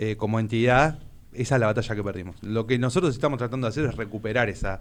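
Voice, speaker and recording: A man talks in an unremarkable speaking voice. His medium pitch stays in fairly even intonation. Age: 40s. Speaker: trade union official. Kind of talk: interview.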